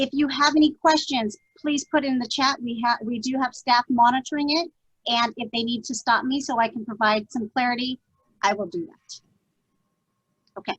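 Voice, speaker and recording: A woman speaks at a high pitch with ordinary pitch variation and long, frequent pauses, in a dry, close sound with no echo. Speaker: school district administrator. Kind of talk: training webinar. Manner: fast.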